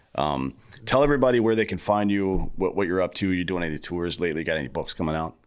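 A man's very deep, low voice, lively in intonation and very fast in pace. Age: 40s. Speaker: podcast host. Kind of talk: casual chat.

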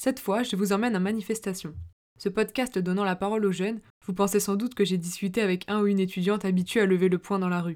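Very fast speech with fairly even intonation on a very clean recording with a silent background. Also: woman, medium pitch for a woman. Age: young. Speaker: podcast host. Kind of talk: scripted narration; interview.

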